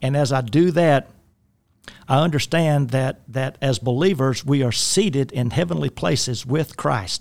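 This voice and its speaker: A man talks rather slowly, his mid-range pitch rising and falling in a normal way. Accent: South Louisiana. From South Louisiana. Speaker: life coach. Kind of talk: casual chat. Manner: halting.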